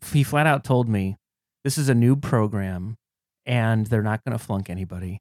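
This man has a normal speaking voice at medium pitch, with an American accent and ordinary pitch variation. The recording is very clean, with a silent background. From Cleveland, Ohio. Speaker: comedian. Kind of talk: casual chat.

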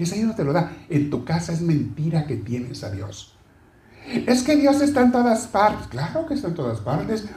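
An animated man speaks at a moderate pace in a high pitch. His voice swings very widely in pitch. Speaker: preacher. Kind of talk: sermon. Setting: church. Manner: animated, exhorting, conversational with the congregation; asks questions and addresses listeners directly.

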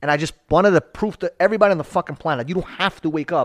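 A loud, high-pitched man with an American accent, intense and animated, very fast with ordinary pitch variation, in a dry, close sound with no echo on a very clean recording with a silent background. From New York. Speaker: marketing entrepreneur. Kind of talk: casual interview. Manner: loud, intense.

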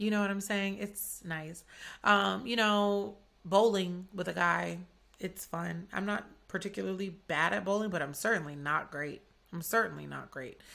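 Speaking at a moderate pace with an Atlanta accent, a woman has a fairly low pitch, ordinary pitch variation and a bright, sharp tone. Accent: Southern US, Atlanta. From US South, Atlanta. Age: 20s. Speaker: podcast host and chef. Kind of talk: casual chat. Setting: home studio.

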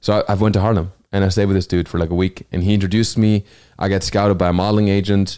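On a very clean recording with a silent background, a man with a German accent and a fairly low, dark, mellow voice talks very fast in a flat monotone at a very even loudness. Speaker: comedian. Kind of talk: casual chat. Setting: studio.

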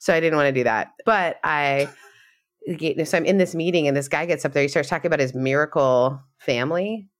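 At a fairly quick pace, the voice comes through on a very clean recording with a silent background. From Canada. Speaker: podcast co-host. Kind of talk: casual interview conversation. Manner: laughs often, chatty.

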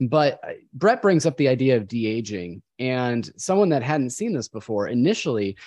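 With a plain, everyday voice at medium pitch, a man talks at a moderate pace with lively intonation against a quiet background. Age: 30s. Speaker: podcast host. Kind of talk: casual chat.

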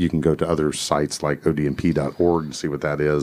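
A man speaks at a moderate pace in a very deep, low voice. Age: 50s. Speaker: police officer and podcast co-host. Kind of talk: casual chat.

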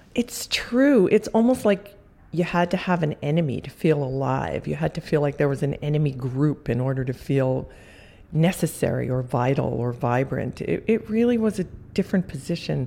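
A woman's very deep, low voice with a dark, mellow tone, vocal fry, very wide pitch swings and a moderate pace. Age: 60s. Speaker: visual artist. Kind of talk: interview, reflective conversation.

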